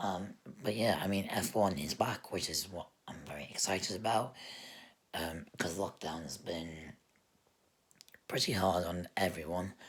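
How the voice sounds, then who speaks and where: A man speaks with a very deep, low pitch and ordinary pitch variation. Long, frequent pauses break up his speech. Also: fairly slow pace. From UK. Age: 20s. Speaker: gaming and F1 podcaster. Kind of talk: solo podcast monologue. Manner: halting, many fillers.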